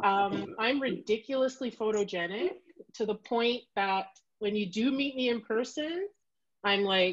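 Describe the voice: Pitch varies in an ordinary way as the words come at a fairly slow pace. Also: woman, medium pitch for a woman.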